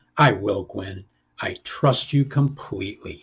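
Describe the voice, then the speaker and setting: A man does a put-on character voice at a medium pitch and a fairly slow pace. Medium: read story. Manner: earnest.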